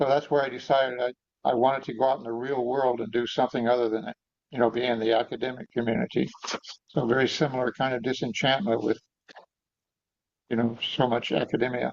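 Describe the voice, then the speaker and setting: The speech runs at a very fast pace with fairly even intonation, broken by long, frequent pauses. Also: man, medium pitch for a man. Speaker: Zen teacher and interviewer. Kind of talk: interview questions.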